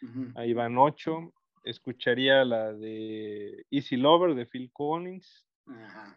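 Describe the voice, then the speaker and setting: A man's medium-pitched voice at a very slow pace. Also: ordinary pitch variation. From Mexico, Guerrero (Chilpancingo). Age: 40s. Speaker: electronics engineer and entrepreneur. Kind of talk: casual chat.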